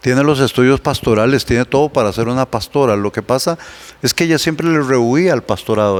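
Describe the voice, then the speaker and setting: Recorded with a dry, close sound and no echo but noticeable background noise, a man talks at a fairly quick pace and medium pitch with ordinary pitch variation. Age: 60s. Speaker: pastor. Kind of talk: casual chat.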